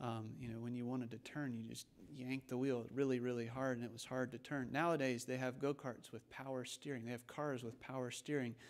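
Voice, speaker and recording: Fairly even in intonation, a man talks at a fairly quick pace. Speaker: preacher. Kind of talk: sermon. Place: church. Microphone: podium.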